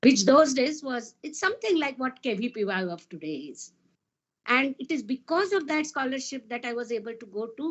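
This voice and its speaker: Here a woman speaks in a high voice. Her pitch swings very widely. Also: moderate pace. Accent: Marathi Indian. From India, Maharashtra. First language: Marathi. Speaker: physicist. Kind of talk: panel talk.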